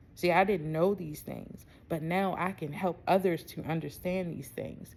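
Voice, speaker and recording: A woman with a Baltimore accent, fairly low pitch, a dark, mellow tone, fairly even intonation and a moderate pace. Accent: Baltimore way of talking. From US, Baltimore. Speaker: spiritual self-love coach. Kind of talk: casual vlog monologue. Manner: casual, conversational.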